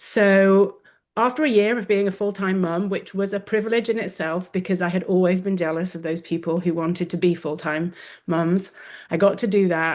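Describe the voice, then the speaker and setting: The woman speaks with an English accent at a moderate pace. Her intonation is fairly even. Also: medium pitch for a woman, quiet background. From England. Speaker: wellness coach, former orthodontist. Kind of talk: webinar interview.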